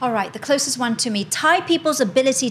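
A woman with lively intonation and an animated tone, over noticeable background noise. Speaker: English teacher and educator. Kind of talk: casual panel discussion.

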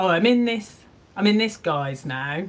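A woman of medium pitch with a Cornish accent. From Cornwall. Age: 50s. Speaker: podcast host and artist. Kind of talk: casual chat.

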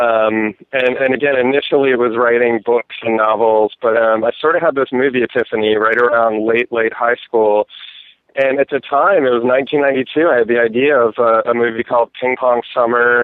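At a moderate pace, a man speaks in a plain, everyday voice with medium pitch, fairly even intonation and very even loudness. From US, central Maryland. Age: 40s. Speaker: filmmaker. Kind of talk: interview.

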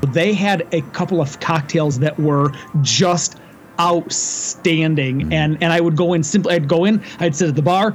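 Noticeable background noise sits behind a man with a high voice and fairly even intonation. He talks at a fairly slow pace, his loudness very even. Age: 40s. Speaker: podcast host. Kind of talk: casual chat.

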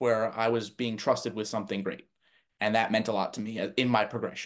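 In a quiet background, a man with an American accent speaks at a moderate pace and medium pitch, his intonation monotone and flat. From New Jersey. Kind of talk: interview.

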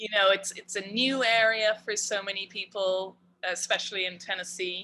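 Delivered at a moderate pace in an Irish accent, the voice has a bright, sharp tone and monotone, flat intonation. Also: woman. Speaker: cannabis edibles maker. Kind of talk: casual interview chat.

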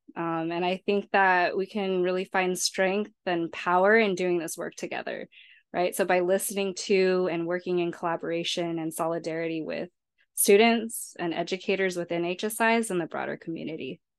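Against a quiet background, a woman with an American accent speaks at a moderate pace and medium pitch, her intonation monotone and flat. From San Diego, California (South Bay). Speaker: postdoctoral researcher. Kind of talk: interview.

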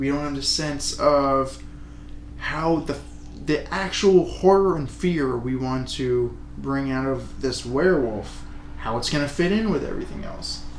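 Amid noticeable background noise and audible room echo, a man with an American accent speaks at a fairly slow pace. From United States. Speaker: podcast co-host, aspiring screenwriter. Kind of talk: casual chat.

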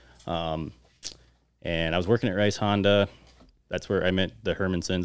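At a fairly quick pace, a man with a very deep, low pitch talks in a monotone, flat intonation broken by long, frequent pauses. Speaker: podcast guest, motocross rider. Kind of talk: casual chat.

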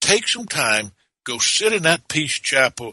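Here a man speaks with a Southern US accent. His pitch is fairly high. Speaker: minister. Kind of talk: casual chat; reading aloud. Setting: studio. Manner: animated.

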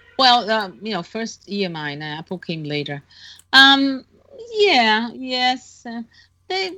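A woman with a Brazilian accent, a bright, sharp tone and fairly high pitch, very wide pitch swings, big swings in loudness, a very slow pace and long, frequent pauses. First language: Portuguese. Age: 60s. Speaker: author and longtime Beatles fan. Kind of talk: casual interview. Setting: remote call.

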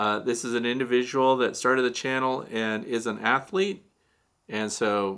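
With an American accent, a man talks at a moderate pace in a medium pitch with ordinary variation and a bright, sharp tone. The recording is very clean, with a silent background. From Missouri, US Midwest. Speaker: beekeeper, podcast host. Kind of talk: Q&A podcast monologue.

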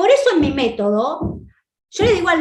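This woman speaks with an Argentine accent. Her pace is moderate. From Argentina. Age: 50s. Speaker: psychiatrist and abundance coach. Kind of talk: online conference talk.

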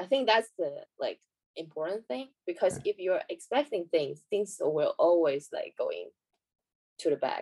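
A woman with a Chinese accent at a fairly slow pace, in a dry, close sound with no echo. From China. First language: Mandarin. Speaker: professional badminton player. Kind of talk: casual interview chat. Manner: halting.

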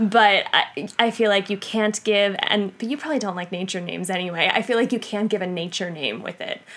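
Over noticeable background noise, a woman at a medium pitch talks at a fairly quick pace with ordinary pitch variation and hardly any pauses. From US Northeast, Long Island, New York. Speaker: podcast co-guest, host's wife. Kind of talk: casual chat.

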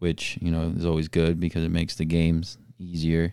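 With an American accent, this voice has a dark, mellow tone on a very clean recording with a silent background. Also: man. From Florida, US. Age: 20s. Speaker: professional soccer player. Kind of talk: interview.

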